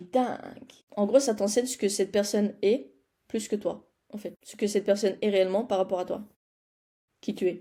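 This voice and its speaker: Speaking at medium pitch, a woman has a dark, mellow tone. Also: moderate pace. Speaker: personal development vlogger. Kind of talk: casual vlog chat. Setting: home studio. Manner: animated.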